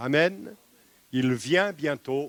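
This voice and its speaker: A man's fairly high voice, with ordinary pitch variation, comes through dry and close with no echo. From eastern France. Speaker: pastor. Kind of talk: sermon. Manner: hesitant with repetitions.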